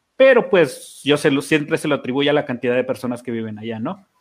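A man with an ordinary speaking voice talks at a fairly high pitch and a moderate pace. His intonation is lively, and the background is quiet. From Mexico, Chihuahua. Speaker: podcast co-host. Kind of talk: casual chat.

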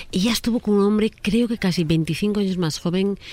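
A woman's ordinary speaking voice with ordinary pitch variation. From Spain. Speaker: psychologist relationship advisor. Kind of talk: advice segment on radio.

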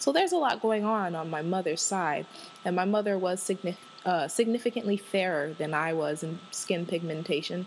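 A woman's medium-pitched, animated voice with a slight Southern US accent, ordinary pitch variation and a moderate pace. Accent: slight US Southern twang. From Washington, D.C. area. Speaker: podcast host. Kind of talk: casual solo monologue. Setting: home recording. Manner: animated, laughing often.

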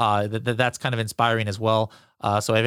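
Recorded with a dry, close sound and no echo, a man talks at a medium pitch. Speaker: podcast host. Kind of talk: casual interview. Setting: video call.

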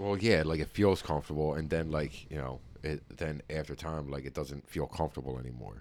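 A man speaks in a very deep, low voice. He talks at a fairly quick pace with hardly any pauses. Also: ordinary pitch variation. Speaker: podcast host. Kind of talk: casual chat. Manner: loud, eccentric, profane.

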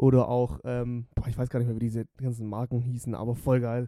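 Mellow, dark tone, recorded close and dry without any echo. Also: man. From Germany, Stuttgart area (Swabia). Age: 20s. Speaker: podcast co-host. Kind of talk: casual chat.

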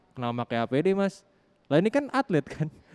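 A man's fairly high, fairly quick voice, dry and close with no echo, in a very clean recording with a silent background. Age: young. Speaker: radio podcast host. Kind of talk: casual chat. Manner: animated.

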